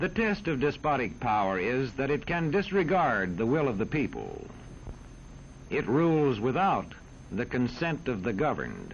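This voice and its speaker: At a moderate pace, a man speaks in a medium pitch with vocal fry, his loudness very even while his pitch swings very widely. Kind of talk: educational film narration.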